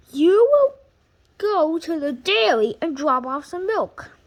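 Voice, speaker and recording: In a put-on character voice, the speaker goes at a fairly slow pace with very wide pitch swings. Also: woman, extremely high pitch for a woman. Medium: read story. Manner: throat-clearing, authoritative.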